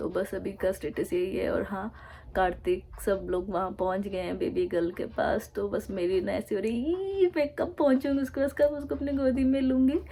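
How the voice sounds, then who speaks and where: A woman talks at medium pitch and a moderate pace, with a dark, mellow tone. Vocal fry runs through her speech, and her intonation is lively. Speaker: vlogger. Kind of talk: casual vlog talk to camera.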